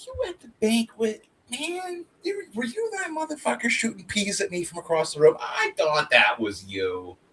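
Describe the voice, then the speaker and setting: Speaking at a moderate pace with hardly any pauses, a man with a New Jersey accent shows big swings in loudness. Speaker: comic artist streamer. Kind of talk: casual chat. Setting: live stream.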